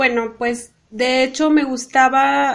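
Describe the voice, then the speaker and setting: This woman speaks in a high pitch. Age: 30s. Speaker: civil engineer. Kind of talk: interview. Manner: halting.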